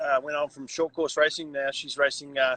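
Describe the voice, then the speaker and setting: The sound is dry and close, with no echo. A man speaks at a moderate pace with a fairly high pitch. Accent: New Zealand. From New Zealand. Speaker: triathlon coach. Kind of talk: casual interview chat. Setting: Instagram live stream. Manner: hesitant, repeats words.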